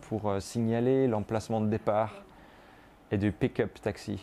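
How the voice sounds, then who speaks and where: A man's voice, fairly low in pitch, is heard in a quiet background. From France, Brittany. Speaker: artist. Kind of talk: guided studio tour. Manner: halting, many fillers.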